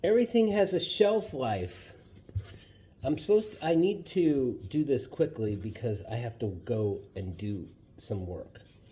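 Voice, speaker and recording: A man speaks slowly-ish, fairly slow in pace, with a dark, mellow, somewhat breathy tone. His pitch sits fairly high and swings very widely. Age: 60s. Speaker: vlogger. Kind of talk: cooking tutorial. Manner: casual, hesitant with fillers.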